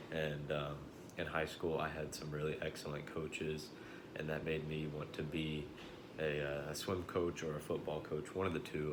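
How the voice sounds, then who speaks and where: A man with an American accent speaks at a moderate pace in a very deep, low pitch and a monotone, flat intonation. Audible room echo surrounds his voice. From Central Texas, hill country. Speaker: college student. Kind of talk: class introduction video. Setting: self-recorded video. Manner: hesitant, many fillers.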